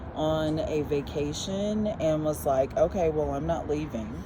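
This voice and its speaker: In an American accent, a woman with a very deep, low pitch speaks amid noticeable background noise and audible room echo. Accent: Southern accent comes out when tired. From North Carolina. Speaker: church vestry member. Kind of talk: casual interview.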